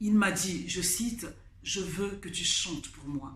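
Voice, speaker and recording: With lively intonation and a medium pitch, a woman speaks amid audible room echo. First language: Kikongo (speaking French). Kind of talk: testimony. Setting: studio. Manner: halting, with hesitations.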